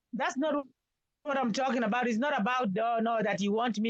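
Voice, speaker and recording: At a moderate pace, a woman with a normal speaking voice talks with ordinary pitch variation. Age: 60s. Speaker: caller on live stream. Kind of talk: casual chat.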